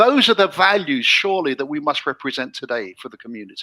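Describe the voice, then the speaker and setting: In an English accent, the speaker moves at a fairly quick pace on a very clean recording with a silent background. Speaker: show host promoting sponsor app. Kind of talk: casual chat. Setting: live stream show.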